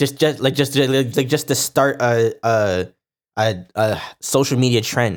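In a very clean recording with a silent background, a man with an unremarkable speaking voice talks at a fairly slow pace, keeping a medium pitch, ordinary pitch variation and very even loudness. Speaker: podcast co-host. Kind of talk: casual chat.

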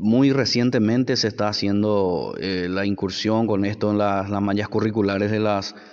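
At a fairly slow pace, a man speaks with a fairly low pitch and fairly even intonation. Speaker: podcaster. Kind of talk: personal testimony. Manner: halting.

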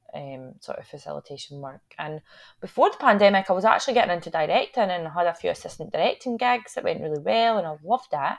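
A woman speaks with a Scottish accent. Her pitch swings very widely. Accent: Scottish (Fife). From Scotland, Fife. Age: 20s. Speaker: actor and theatre maker. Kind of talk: casual chat.

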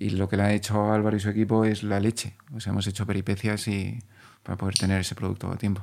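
A man speaks at a very fast pace, fairly low in pitch, in a monotone, flat intonation. The recording is very clean with a silent background. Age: 40s. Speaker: clothing brand founder. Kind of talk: podcast interview. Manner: repetitive, halting starts.

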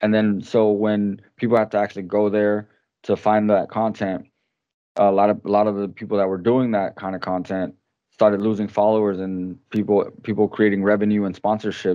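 Monotone and flat in intonation, a man speaks at a moderate pace with a fairly low pitch. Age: 30s. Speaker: podcast co-host. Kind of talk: casual chat.

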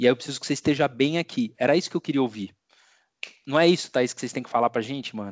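A man talks at a very fast pace in a fairly high pitch with ordinary variation. The sound is dry and close with no echo, over a quiet background. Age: 30s. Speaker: podcast host. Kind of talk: casual chat.

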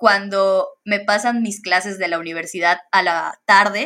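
A woman's bright, sharp tone at medium pitch, with fairly even intonation. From Mexico, Campeche. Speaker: solar energy professional. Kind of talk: interview.

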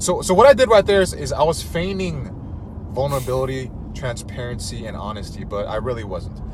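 Over noticeable background noise and audible room echo, a man speaks at a very fast pace with big swings in loudness. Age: 30s. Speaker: dating content creator. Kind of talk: casual chat.

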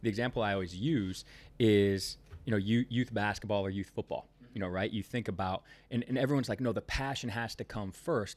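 On a very clean recording with a silent background, a man with a plain, everyday voice speaks at a fairly quick pace and fairly low pitch, with ordinary pitch variation. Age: 30s. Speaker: sales and marketing business owner. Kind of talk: casual interview.

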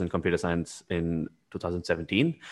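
A man with a very deep, low pitch speaks on a very clean recording with a silent background. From India. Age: 20s. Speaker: startup founder. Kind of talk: interview.

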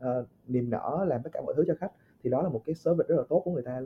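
The speaker is a man using lively intonation. His pace is very fast. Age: 20s. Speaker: podcast guest. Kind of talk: casual chat. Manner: halting.

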